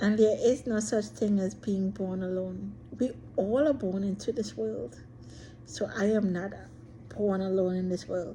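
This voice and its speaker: At a fairly slow pace, a woman speaks with medium pitch, a dark, mellow tone, lively intonation, and some breathiness. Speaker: vlogger. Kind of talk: personal monologue. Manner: shy.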